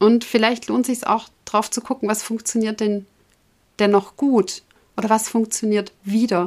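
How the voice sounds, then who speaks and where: At a fairly slow pace, a woman speaks in a fairly high voice with monotone, flat intonation. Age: 40s. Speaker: podcast host and breast cancer patient. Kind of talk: personal monologue to listeners.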